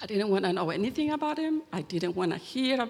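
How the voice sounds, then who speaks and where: With a Chilean accent, the speaker's pitch swings very widely. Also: woman. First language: Spanish. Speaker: church member giving testimony. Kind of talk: testimony.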